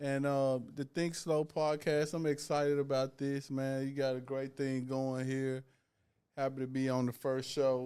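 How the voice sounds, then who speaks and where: A man with a Southern US accent talks at a fairly slow pace in a medium pitch, his dark, mellow tone delivered with monotone, flat intonation. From US South. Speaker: author. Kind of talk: casual chat.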